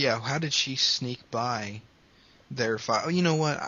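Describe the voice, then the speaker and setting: At a fairly slow pace, a man with an unremarkable speaking voice talks with ordinary pitch variation. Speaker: podcast host. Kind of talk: casual chat.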